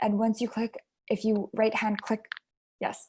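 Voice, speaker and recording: A woman talks in an ordinary speaking voice. Her medium pitch carries fairly even intonation. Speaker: software trainer. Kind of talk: tutorial.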